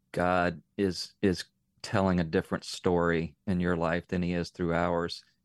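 With an American accent, a man speaks at a very deep, low pitch in a monotone, flat way, the sound dry and close with no echo against a quiet background. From Northern Virginia. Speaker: nonprofit CEO, parent. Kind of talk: radio interview. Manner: halting, repeats words.

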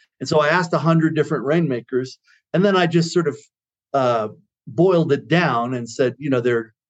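A man talks at a fairly quick pace with ordinary pitch variation in an unremarkable speaking voice. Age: 60s. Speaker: consultancy CEO. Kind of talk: interview.

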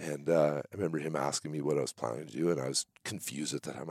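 A man speaks at a very fast pace with a dark, mellow tone and vocal fry. The sound is dry and close, with no echo. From Canada, central British Columbia. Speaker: sawmill owner. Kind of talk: casual interview.

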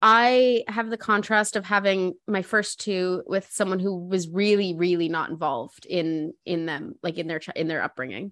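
A woman speaks in an ordinary speaking voice at a medium pitch. Her pitch varies in an ordinary way, and her pace is moderate. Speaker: mother and cancer patient. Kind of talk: casual chat.

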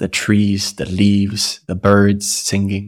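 Fairly low in pitch, a man speaks in a calm, soothing tone. The recording is very clean, with a silent background. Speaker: guided meditation host. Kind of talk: guided meditation. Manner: slow, calm, soothing, with long pauses; gentle, hypnotic, rhythmic.

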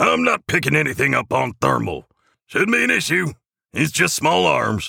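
Using a put-on character voice, a man speaks at medium pitch and a moderate pace with big pitch swings, a bright, sharp tone, vocal fry and a slightly husky edge, on a very clean recording with a silent background.

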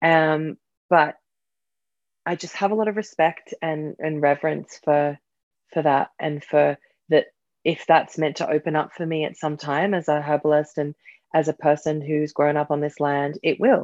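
In a dry, close sound with no echo, a woman with a very deep, low voice speaks at a moderate pace with fairly even intonation and long, frequent pauses. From Australia, suburban Sydney. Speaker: herbalist and author. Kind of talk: casual chat.

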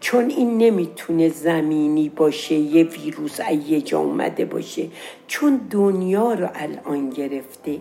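Over music in the background, a woman with a fairly low voice speaks at a very slow pace with lively intonation. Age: old. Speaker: storyteller. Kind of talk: storytelling. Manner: casual.

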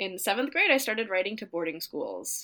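The woman's voice has a bright, sharp tone at a medium pitch. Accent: American. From US Upper Midwest, northwestern Minnesota. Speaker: dance teacher and choreographer. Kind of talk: interview.

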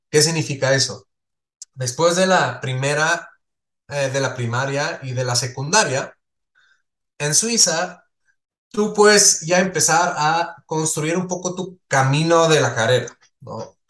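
The speaker moves at a very slow pace with ordinary pitch variation and long, frequent pauses. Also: man, fairly high pitch for a man. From Switzerland, small village. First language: not Spanish (Swiss) (speaking Spanish). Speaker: entrepreneur. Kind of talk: interview conversation.

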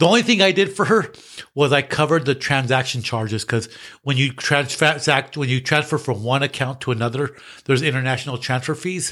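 Very clean recording with a silent background of a man in an American accent, fairly high-pitched and bright, sharp in tone, at a fairly quick pace with ordinary pitch variation. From United States. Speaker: podcast host. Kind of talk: casual chat. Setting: studio.

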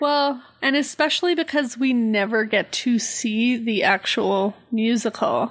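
Speaking in an unremarkable speaking voice, a woman with a fairly high pitch goes at a fairly slow pace with hardly any pauses, very even loudness and ordinary pitch variation. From Canada. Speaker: podcast co-host. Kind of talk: casual chat.

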